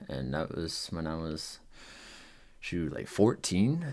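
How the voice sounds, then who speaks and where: On a very clean recording with a silent background, a man talks at a very slow pace. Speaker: podcast host. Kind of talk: casual solo monologue. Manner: casual, rambling, many fillers.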